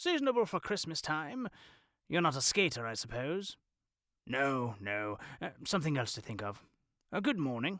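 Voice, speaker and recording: In a put-on character voice, the speaker sounds raspy, swinging very widely in pitch and leaving long, frequent pauses, on a very clean recording with a silent background. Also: man, fairly high pitch for a man, moderate pace. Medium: read story. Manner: curt, indifferent.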